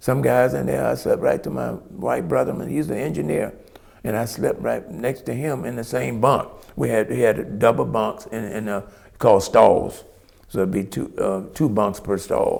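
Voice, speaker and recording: A man in a Southern US accent at a moderate pace. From US South. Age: 70s. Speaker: retired firefighter. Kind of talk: oral history interview. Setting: museum pavilion. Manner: halting.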